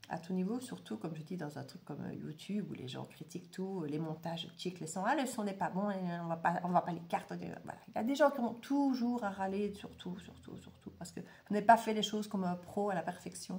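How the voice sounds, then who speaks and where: With a Belgian accent, the speaker talks at a fairly quick pace with hardly any pauses, lively intonation and big swings in loudness. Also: woman, medium pitch for a woman. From Belgium. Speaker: tarot and oracle reader. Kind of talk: casual monologue to viewers. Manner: hesitant, many fillers.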